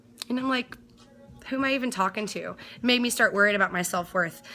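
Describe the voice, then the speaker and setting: A woman's animated voice with ordinary pitch variation, music playing behind her. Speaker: DJ and live streamer. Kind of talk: casual live-stream chat. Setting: home studio, live stream. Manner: fast.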